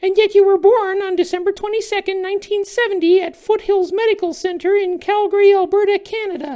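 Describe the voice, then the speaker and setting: A put-on character voice, pitched extremely high and delivered at a fairly quick pace. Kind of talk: comedic satire sketch.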